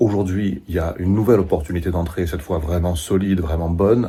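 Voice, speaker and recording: Quiet speech at a fairly quick pace with ordinary pitch variation. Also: man. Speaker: stock market YouTuber. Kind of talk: casual video monologue on investing. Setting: doctor's waiting room. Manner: speaking quietly.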